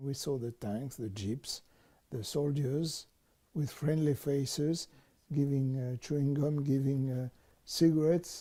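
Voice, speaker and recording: A man's somewhat breathy voice, dark and mellow in tone, moves at a fairly slow pace with fairly even intonation. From France. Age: 70s. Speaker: Holocaust survivor, museum volunteer. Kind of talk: interview answer.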